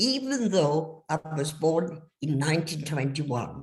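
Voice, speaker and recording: A somewhat breathy woman speaks at a very slow pace, with very wide pitch swings. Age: 80s+. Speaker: refugee telling life story. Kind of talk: testimony.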